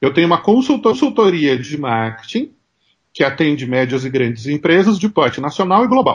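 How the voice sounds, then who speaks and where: A man's somewhat breathy voice moves at a moderate pace, his pitch swinging very widely. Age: 40s. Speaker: marketing consultant and professor. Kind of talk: interview.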